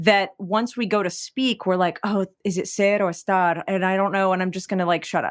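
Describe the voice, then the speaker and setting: Against a quiet background, a normal speaking voice with an American accent moves at a moderate pace. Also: woman. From Texas. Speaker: singer-songwriter. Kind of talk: interview conversation. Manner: casual, many fillers.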